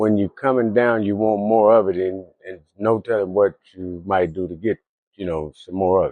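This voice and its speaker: Here is a man with an American accent and an ordinary speaking voice. He speaks at a moderate pace in a fairly low pitch. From California (Venice, Los Angeles). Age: 60s. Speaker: homeless man. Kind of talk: street interview.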